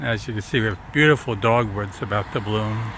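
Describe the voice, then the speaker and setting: Amid noticeable background noise, a man with an American accent and a medium pitch speaks at a fairly slow pace. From Long Island, New York. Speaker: vlogger, tour guide. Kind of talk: casual walking tour commentary. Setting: outdoors walking.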